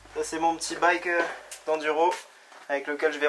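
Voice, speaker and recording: The man talks at a fairly quick pace. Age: 20s. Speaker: pro mountain biker. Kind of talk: vlog narration. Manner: casual, hesitant with fillers.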